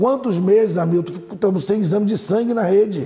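This man talks at a high pitch, with ordinary variation in his pitch. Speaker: doctor and mayoral pre-candidate. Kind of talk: TV interview. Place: studio. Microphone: lapel.

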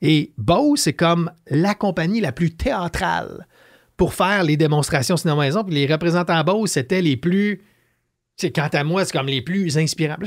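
The pace is moderate and the background is quiet. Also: man, high pitch for a man, ordinary pitch variation. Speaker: entrepreneur, leadership author; podcast guest. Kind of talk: casual interview. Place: studio. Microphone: studio mic.

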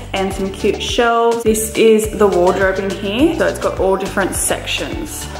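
A woman speaks with hardly any pauses. Clear music plays in the background, and room echo is audible. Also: moderate pace. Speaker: home vlogger. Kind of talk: casual vlog chat. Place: home room. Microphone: phone near.

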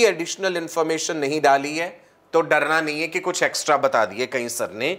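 This voice is pitched fairly high. It comes from a man. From India. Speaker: online biology teacher for medical entrance exam. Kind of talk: live online lecture. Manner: animated.

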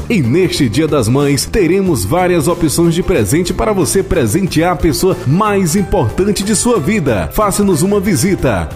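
Over music in the background, a man speaks high-pitched at a fairly slow pace with lively intonation, very even loudness, and hardly any pauses. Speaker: announcer / voice-over locutor. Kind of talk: local radio-style commercial read for a flower shop.

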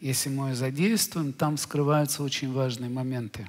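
A man's medium-pitched voice comes across somewhat breathy. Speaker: spiritual teacher, lecturer. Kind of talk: lecture. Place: hall. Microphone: headset.

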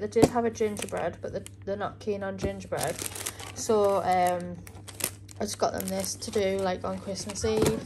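Noticeable background noise sits behind speech delivered at a moderate speed. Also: woman. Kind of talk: casual vlog chat. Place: kitchen. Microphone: phone near.

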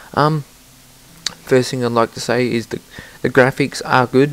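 An Australian accent comes through with fairly even intonation. Noticeable background noise runs beneath the voice. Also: man. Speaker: gaming commentator. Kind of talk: recorded gameplay commentary. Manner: casual, hesitant with fillers.

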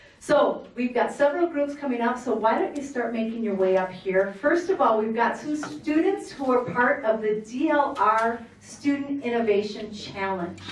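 A woman with a high pitch and lively intonation speaks at a moderate pace with hardly any pauses, and audible room echo is present. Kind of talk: formal public address. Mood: warm, celebratory. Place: meeting room.

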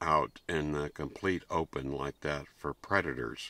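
A man's very deep, low voice with vocal fry, a bright, sharp tone, and fairly even intonation, dry with no echo. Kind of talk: casual vlog chat. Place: tent.

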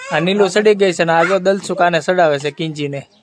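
A man speaks at a high pitch with ordinary pitch variation. Noticeable background noise runs underneath. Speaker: family vlogger. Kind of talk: casual vlog narration.

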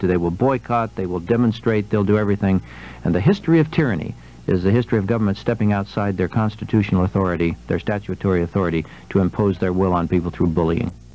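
A very fast man's voice, fairly low in pitch, with a dark, mellow tone, ordinary pitch variation and a dry sound with no echo. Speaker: radio guest. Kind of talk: interview answer. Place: studio.

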